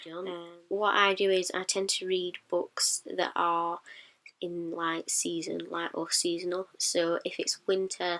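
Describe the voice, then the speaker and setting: A woman speaks with a strong northern English accent. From northern England, Sheffield, South Yorkshire. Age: 20s. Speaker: book vlogger. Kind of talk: casual vlog monologue. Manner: hesitant, many ums.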